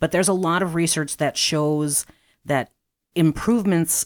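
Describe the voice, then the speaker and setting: The voice has an American accent and a fairly slow pace, on a very clean recording with a silent background and dry, close sound with no echo. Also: woman. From Chicago, southeast side. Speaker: massage therapist. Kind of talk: interview.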